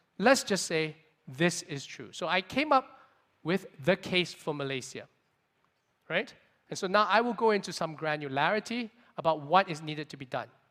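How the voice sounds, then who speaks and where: Bright and sharp in tone, a man speaks at a high pitch and moderate pace with lively intonation. His loudness swings widely, and he takes long, frequent pauses. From Singapore. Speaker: venture capitalist. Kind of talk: conference keynote talk. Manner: energetic.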